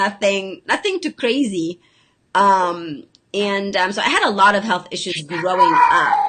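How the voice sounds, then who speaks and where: A woman speaks at a fairly slow pace with a Lebanese accent. Her tone is bright and sharp, with ordinary pitch variation. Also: medium pitch for a woman. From Lebanon. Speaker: health coach and special education teacher. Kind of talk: casual chat. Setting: video call.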